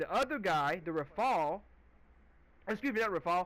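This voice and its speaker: A man speaks loudly and at a fairly quick pace, his voice high-pitched with lively intonation and a bright, sharp tone, on a very clean recording with a silent background. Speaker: gaming video creator. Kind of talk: gameplay commentary rant. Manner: halting.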